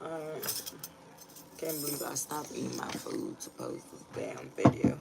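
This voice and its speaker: A woman talks fairly slowly as noticeable noise fills the background. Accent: slight Ghanaian. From Ghana. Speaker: tarot reader. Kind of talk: casual livestream chat. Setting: livestream at home. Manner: casual, profane.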